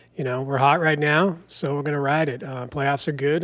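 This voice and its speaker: A man at a moderate pace with an American accent, fairly high in pitch. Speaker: sports betting podcast co-host. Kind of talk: casual podcast chat.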